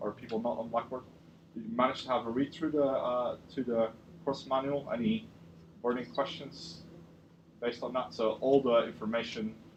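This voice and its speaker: Noticeable background noise surrounds a man of medium pitch who speaks with ordinary pitch variation and long, frequent pauses. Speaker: university lecturer. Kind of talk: lecture. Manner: fast; halting, many fillers.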